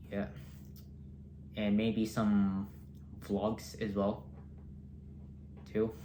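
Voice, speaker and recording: The speech moves at a very slow pace with long, frequent pauses and ordinary pitch variation, and audible room echo surrounds it. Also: man, fairly low pitch for a man. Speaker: toy reviewer. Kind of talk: casual vlog tour. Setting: home, bedroom. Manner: halting.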